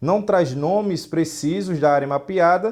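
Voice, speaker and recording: A man's high voice with a slight northeastern Brazilian accent, ordinary pitch variation and a very slow pace. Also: quiet background. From Brazil, Northeast (João Pessoa, Paraíba). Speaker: geography teacher. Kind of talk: lecture.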